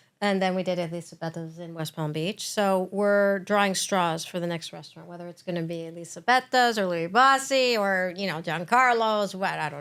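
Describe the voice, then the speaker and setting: A woman with an unremarkable speaking voice talks in a medium pitch, with ordinary pitch variation and big swings in loudness. She hardly pauses, in a very clean recording with a silent background. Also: moderate pace. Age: 60s. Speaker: chef. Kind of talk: casual chat. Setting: studio.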